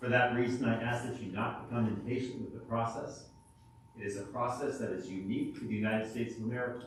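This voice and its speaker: Over noticeable background noise and audible room echo, a man speaks very fast at a medium pitch in a flat monotone. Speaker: judge. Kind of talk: jury selection instructions in court. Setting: courtroom. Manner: projecting loudly; formal.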